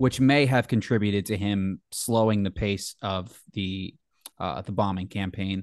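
Over a quiet background, a man with an American accent uses a normal speaking voice, fairly low in pitch, with ordinary pitch variation at a fairly slow pace. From New Jersey. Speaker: podcast host. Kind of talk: casual interview.

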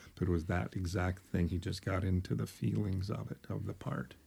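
In a very clean recording with a silent background, a man speaks with a very deep, low pitch and a dark, mellow tone that is somewhat breathy. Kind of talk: casual conversation.

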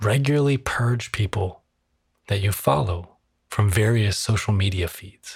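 With a calm, soothing tone, the somewhat breathy voice moves at a fairly slow pace with ordinary pitch variation. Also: man, fairly low pitch for a man, very clean recording, silent background. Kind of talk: guided meditation. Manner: calm, slow, soothing, gently paced with pauses; soft-spoken, instructive.

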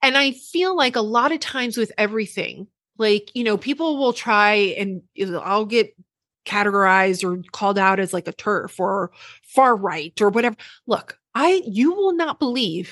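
Her pitch fairly high and her intonation lively, a woman talks at a moderate pace in a dry, close recording with no echo and a quiet background. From Puerto Rican heritage, US. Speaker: social media news commentator. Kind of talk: casual chat.

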